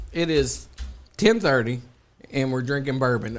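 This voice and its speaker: An animated tone in a Kentucky accent, fairly slow, with lively intonation. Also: man. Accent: Kentucky Southern US. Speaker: podcast co-host. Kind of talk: casual chat. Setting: studio.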